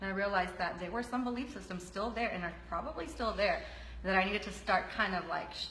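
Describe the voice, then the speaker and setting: A woman with a medium pitch talks at a very fast pace, her pitch varying in an ordinary way. Audible room echo and noticeable background noise are present. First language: Spanish. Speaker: health coach. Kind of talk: interview.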